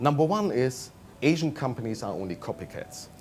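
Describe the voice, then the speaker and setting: Music plays behind a man with a German accent. His pitch swings very widely. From Germany. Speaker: management consultant. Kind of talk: interview.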